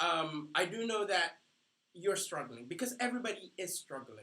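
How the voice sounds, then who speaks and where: With a non-native accent, a man speaks at a moderate pace in a raised, projected voice, high-pitched with a bright, sharp tone, animated and with ordinary pitch variation. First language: not English. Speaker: life coach. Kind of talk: training seminar. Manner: halting.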